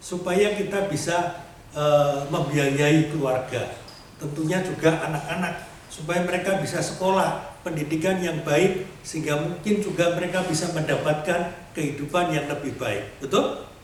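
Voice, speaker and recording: A man's high-pitched voice, varying in pitch in an ordinary way, comes through audible room echo and noticeable background noise. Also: moderate pace. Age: 60s. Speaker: lay preacher. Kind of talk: sermon.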